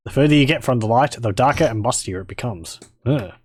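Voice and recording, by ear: Someone is reading aloud in a natural voice. The pitch shows ordinary variation.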